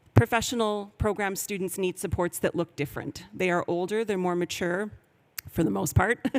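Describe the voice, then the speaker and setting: Someone with a Canadian accent speaks in a normal speaking voice at a fairly quick pace, with a dry, close sound and no echo. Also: woman. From Canada, Vancouver. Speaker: professor. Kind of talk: conference presentation.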